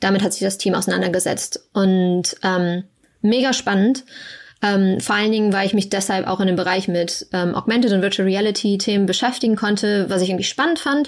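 A woman with a normal speaking voice, medium pitch, ordinary pitch variation, fairly quick pace and very even loudness, in a very clean recording with a silent background. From Germany. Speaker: research scientist. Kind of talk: casual interview.

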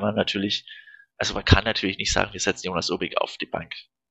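A man rattles along at a very fast pace. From Franconia, Germany (Fürth). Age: 20s. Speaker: football club fan. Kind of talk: casual chat.

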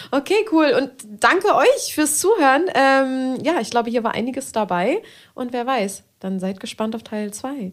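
Speaking fairly slowly, a woman uses a high pitch that swings very widely. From Berlin. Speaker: podcast host and adult film performer. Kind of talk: casual chat.

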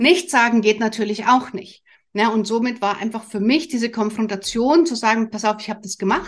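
A woman's fairly high, somewhat breathy voice at a fairly quick pace, with ordinary pitch variation. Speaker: family coach and podcast host. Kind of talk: solo podcast monologue. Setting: studio with camera and microphone.

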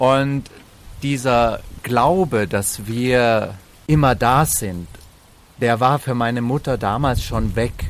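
At a very slow pace, a man speaks with long, frequent pauses. His medium pitch shows ordinary variation. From Bavaria and Slovenia. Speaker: entertainer and actor. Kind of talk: casual interview.

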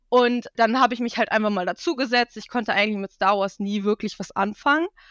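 A woman with an ordinary speaking voice talks at a fairly quick pace with ordinary pitch variation, in a very clean recording with a silent background and a dry, close sound with no echo. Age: 20s. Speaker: cosplayer. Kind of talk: casual chat.

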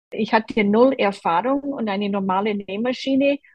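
Speaking at a fairly slow pace, a woman with an American accent uses a fairly high pitch and ordinary pitch variation. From Boston, US East Coast. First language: English (speaking German). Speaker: quilter, quilt group member. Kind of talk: interview.

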